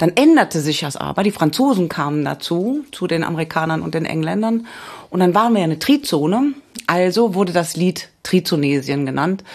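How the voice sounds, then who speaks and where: A woman speaks at a fairly quick pace with lively intonation. Noticeable background noise runs under her voice. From Cologne, Germany. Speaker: radio history author. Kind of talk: casual chat.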